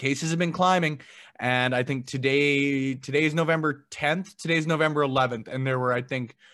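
Male voice with a Canadian accent, fairly high-pitched, bright and sharp in tone, with ordinary pitch variation. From Canada, Edmonton. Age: 20s. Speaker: podcaster. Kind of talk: casual chat.

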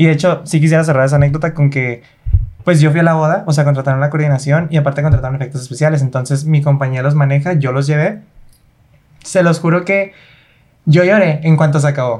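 Somewhat breathy, the voice rushes at a very fast pace with fairly even intonation. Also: man, fairly high pitch for a man. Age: 20s. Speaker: dance choreographer. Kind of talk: casual interview.

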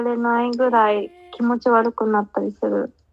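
A woman speaks with a high pitch. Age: 20s. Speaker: podcast co-host, counselor. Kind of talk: casual chat.

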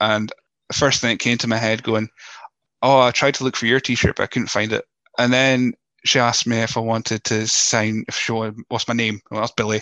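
Speaking fairly quickly with a Scottish accent, a man delivers flat, monotone lines in a bright, sharp tone, recorded dry and close with no echo. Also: medium pitch for a man, quiet background. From Scotland. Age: 30s. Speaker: podcast host. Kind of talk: casual interview chat. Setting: video call from home office. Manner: hesitant, repeats words.

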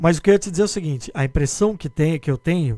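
This dark, mellow voice moves with lively intonation. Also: man. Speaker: podcast host and sports journalist. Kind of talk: casual chat.

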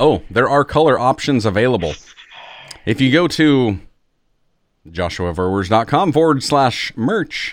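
Moving at a fairly slow pace with long, frequent pauses, a man speaks in an animated tone at a medium pitch, with very wide pitch swings and very even loudness. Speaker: podcast host. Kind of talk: casual podcast chat. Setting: home recording with mic, video call. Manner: animated, jokey.

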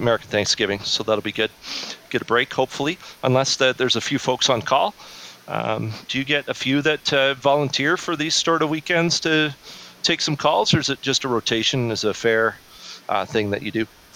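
A man at medium pitch talks at a fairly quick pace with ordinary pitch variation, in a dry, close sound with no echo and noticeable background noise. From Canada. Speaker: podcast host. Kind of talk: interview. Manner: halting.

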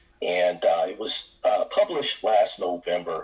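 Noticeable background noise fills the clip. Over it, a man is talking. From US Midwest, Detroit. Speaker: author. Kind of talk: interview. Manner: halting.

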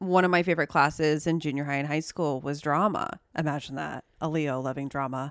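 Captured in a very clean, dry and close recording with a silent background and no echo, a woman speaks at a moderate pace. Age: 30s. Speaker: astrology podcast co-host. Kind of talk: casual chat.

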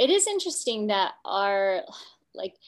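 Recorded very cleanly against a silent background, a woman speaks at a fairly slow pace. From Kansas, US Midwest. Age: 30s. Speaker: polar expedition guide. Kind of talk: casual chat.

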